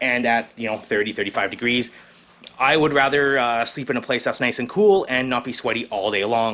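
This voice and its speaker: Over noticeable background noise, a man with a Canadian accent speaks at a medium pitch. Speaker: fishing and camping vlogger. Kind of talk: casual vlog talk to camera. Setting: hot garage. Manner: fast; rambling with many fillers.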